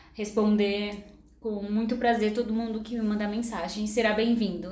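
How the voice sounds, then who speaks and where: Over noticeable background noise and audible room echo, a woman speaks in a fairly high pitch with monotone, flat intonation. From São Paulo, Brazil (moved from Maranhão at seven). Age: 30s. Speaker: cancer survivor and model. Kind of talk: testimony.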